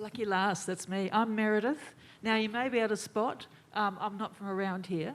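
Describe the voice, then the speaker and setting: A woman with an Australian accent talks at a moderate pace, her fairly high pitch carried in fairly even intonation. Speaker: audience member asking a question. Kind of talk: audience question.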